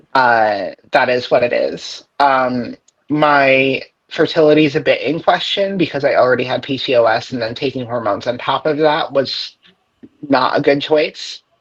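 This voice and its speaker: A woman talks with a very deep, low pitch. Her pace is moderate and her pitch varies in an ordinary way. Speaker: detransitioner interviewee. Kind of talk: interview. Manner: hesitant, many fillers.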